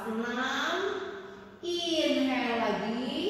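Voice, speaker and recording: With lively intonation, a woman speaks over light background noise in a room with strong echo. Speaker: yoga instructor. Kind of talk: exercise instruction with counting. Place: home room. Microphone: camera far.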